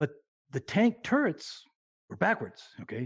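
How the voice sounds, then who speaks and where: A man speaks at a moderate pace, his voice somewhat breathy, with a dry, close sound and no echo. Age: 70s. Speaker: military veteran. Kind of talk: casual chat.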